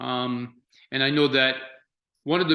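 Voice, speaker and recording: A fairly high-pitched man with a French accent, monotone, flat intonation and a moderate pace. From France. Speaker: chef. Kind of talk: interview. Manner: halting, many fillers.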